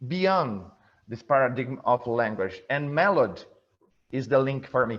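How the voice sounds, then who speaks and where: Against a quiet background, a man with a Brazilian Portuguese accent speaks at a fairly slow pace. His medium-pitched voice makes very wide pitch swings. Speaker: event host. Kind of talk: video interview. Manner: halting, many fillers and repeats.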